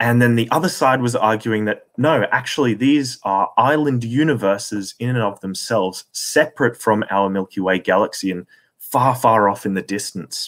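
The speaker has an Australian accent and a moderate pace with hardly any pauses. Pitch varies in an ordinary way. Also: man, medium pitch for a man. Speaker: astronomy commentator. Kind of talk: lecture.

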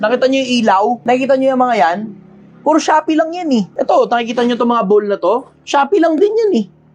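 A man's extremely high-pitched voice at a very fast pace with lively intonation, over noticeable background noise. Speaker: vlogger giving life advice. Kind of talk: casual monologue.

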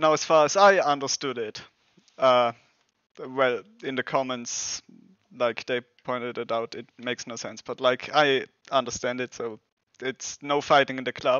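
At a fairly slow pace, a man with a German accent speaks at a medium pitch with fairly even intonation, his clear, smooth, fairly bright tone captured as a dry, close sound with no echo.

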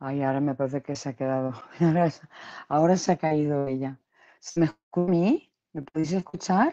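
Over a quiet background, a woman with a very deep, low pitch and a dark, mellow tone speaks at a moderate pace, leaving long, frequent pauses. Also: ordinary pitch variation. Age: 30s. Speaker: YouTube live-stream host. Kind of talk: casual live-stream gossip chat. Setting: at home. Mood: emotional, reproachful. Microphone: video call.

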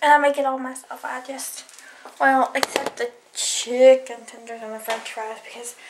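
A woman in a Southern US accent, high in pitch, with monotone, flat intonation at a fairly slow pace over noticeable background noise. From US South. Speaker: vlogger. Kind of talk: casual vlog. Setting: at home, in bed. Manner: chatty, casual, uses filler words. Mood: cheerful, smiling. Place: home room. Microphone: phone near.

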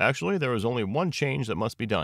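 A man's put-on character voice, fast-paced and medium in pitch, with big pitch swings, vocal fry and a fairly bright tone, in a very clean recording with a silent background

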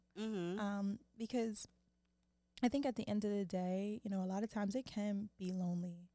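In an American accent, a woman with a dark, mellow tone talks at a fairly quick pace with long, frequent pauses, fairly even intonation and very even loudness, in a dry sound with no echo over a quiet background. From Philadelphia, US. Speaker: actress. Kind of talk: casual chat. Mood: reflective, relaxed. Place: studio. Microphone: studio mic.

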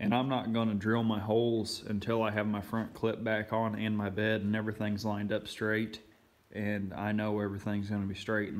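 Audible room echo surrounds a man's fairly low voice. His intonation is monotone and flat, and his pace moderate. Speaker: car restoration vlogger. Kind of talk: casual project update vlog.

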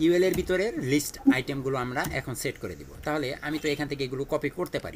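A man at medium pitch, fast-paced, with big pitch swings.

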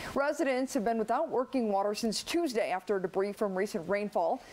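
Talking at a moderate pace, a woman uses a plain, everyday voice at a fairly high pitch with lively intonation. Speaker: TV news anchor. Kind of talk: TV news anchor read. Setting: studio.

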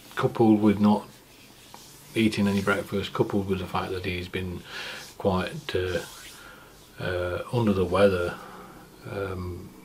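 With light background noise, a man speaks at a fairly slow pace and fairly low pitch, his intonation fairly even and broken by long, frequent pauses. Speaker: cycling vlogger. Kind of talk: casual vlog chat. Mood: reflective, somewhat sober. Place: home room.

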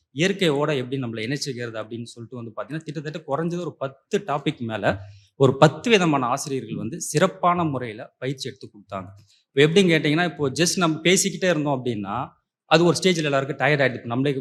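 A man's fairly high-pitched voice, a normal speaking voice, with ordinary pitch variation and big swings in loudness. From Puducherry. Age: 30s. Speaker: course participant. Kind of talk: testimony.

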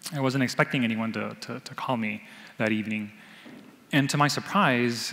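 This man talks with ordinary pitch variation. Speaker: storyteller. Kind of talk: live storytelling. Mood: warm, reflective, light laughter. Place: hall. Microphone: headset.

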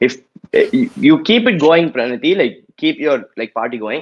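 A man is speaking. His intonation is lively. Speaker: event judge. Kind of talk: casual chat. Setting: video call. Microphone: video call.

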